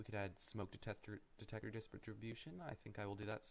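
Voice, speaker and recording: A man mumbles in a put-on character voice at a fairly low pitch. He goes at a very fast pace. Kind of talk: casual, thinking aloud. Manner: mumbling.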